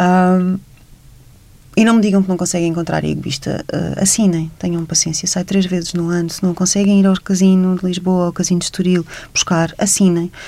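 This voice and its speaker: With a European Portuguese accent, a woman speaks at a moderate pace and medium pitch in a monotone, flat intonation with a dark, mellow tone. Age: 40s. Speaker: writer and journalist. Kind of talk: radio interview.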